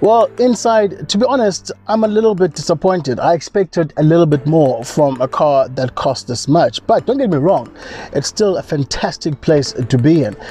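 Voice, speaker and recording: A man at a fairly quick pace, faint music behind him, the sound dry with no echo. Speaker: car reviewer. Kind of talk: car review commentary. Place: car.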